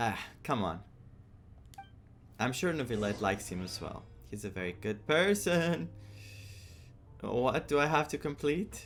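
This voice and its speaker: Fairly slow speech from a man at a medium pitch, with vocal fry, very wide pitch swings, and long, frequent pauses. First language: not English. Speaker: gaming streamer. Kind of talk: live game reaction. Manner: halting.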